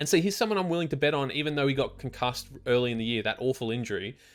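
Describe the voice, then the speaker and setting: A man talks at a very fast pace with an Australian accent. His pitch varies in an ordinary way. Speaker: sports betting tipster. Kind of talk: casual monologue.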